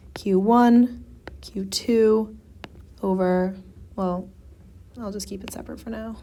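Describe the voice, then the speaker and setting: Her tone is dark and mellow, with fairly even intonation. The woman's voice carries audible room echo. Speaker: physics tutor. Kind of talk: tutorial. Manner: casual.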